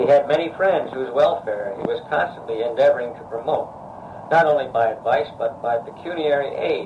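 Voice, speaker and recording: Noticeable background noise sits behind a man with an American accent. His fairly high voice moves at a fairly quick pace with ordinary pitch variation. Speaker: bell foundry owner. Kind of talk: family history narration. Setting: small tape recorder, poor quality.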